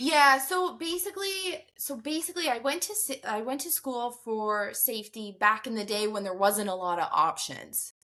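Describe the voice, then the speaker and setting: Her voice is high-pitched with very wide pitch swings as this woman speaks in a slight Newfoundland accent. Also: moderate pace, hardly any pauses. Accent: slight Newfoundland tinge. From Alberta, Canada. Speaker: safety professional. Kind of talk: podcast interview.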